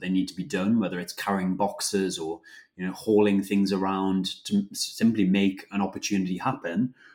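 In a very clean recording with a silent background, a man speaks at a fairly low pitch in a plain, everyday voice. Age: 20s. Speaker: food company co-founder. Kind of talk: interview.

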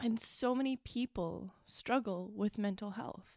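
With a Canadian accent, a woman in a plain, everyday voice speaks at medium pitch and a fairly slow pace, the sound dry and close with no echo. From Northern Ontario, Canada. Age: 30s. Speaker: podcast host. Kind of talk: personal solo monologue.

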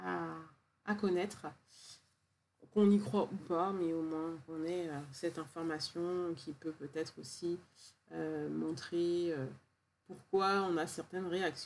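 This woman talks at a very slow pace, leaving long, frequent pauses. Her pitch is fairly low and her intonation fairly even. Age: 40s. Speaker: podcast host, wellness practitioner. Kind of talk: solo podcast monologue. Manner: warm, gentle.

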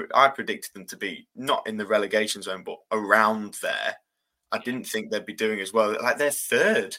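Loudness swings widely throughout this moderately paced speech. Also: man. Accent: East Midlands. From England, Lincoln. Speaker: student journalist and football commentator. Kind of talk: casual chat.

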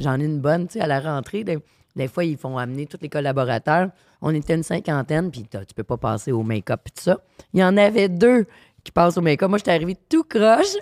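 A woman with a Quebec accent talks fairly quickly at a very deep, low pitch, her animated tone marked by very wide pitch swings, in a very clean, dry, close recording with no echo and a silent background. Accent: Québécois French. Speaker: sommelier. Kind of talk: casual chat.

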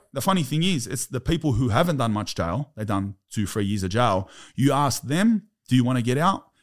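A man with an Australian accent talks at a moderate pace in a medium pitch, with very wide pitch swings. The recording is very clean, with a silent background. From Australia, Sydney. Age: 30s. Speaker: former prisoner. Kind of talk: casual chat.

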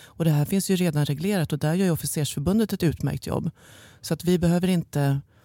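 A woman's dark, mellow voice at a fairly quick pace with ordinary pitch variation, dry and close with no echo, on a very clean recording with a silent background. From Stockholm, Sweden (Bromma). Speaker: head of office at a reserve officers' union, former journalist. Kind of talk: interview.

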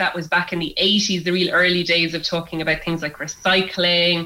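Over noticeable background noise, a woman with an Irish accent and a fairly low pitch speaks at a very fast pace. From Ireland, Kilkenny. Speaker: environmental scientist and activist. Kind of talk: radio interview.

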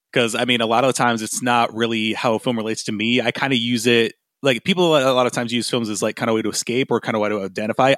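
Talking at a very fast pace, a man with a Midwestern American accent and medium pitch shows ordinary pitch variation on a very clean recording with a silent background and a dry, close sound with no echo. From US, West Michigan (Grand Rapids). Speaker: podcast host, musician. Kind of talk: casual chat.

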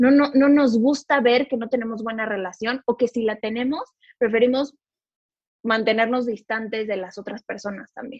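Her voice is an unremarkable speaking voice, fairly high for a woman, with fairly even intonation, a moderate pace, and big swings in loudness. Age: 20s. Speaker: financial advisor. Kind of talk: podcast interview.

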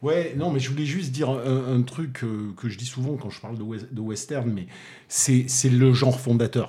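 A man's medium-pitched, somewhat breathy voice with a dark, mellow tone, in a Toulouse accent, at a moderate pace with ordinary pitch variation. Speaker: film critic. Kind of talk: casual chat. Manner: halting, repeats words.

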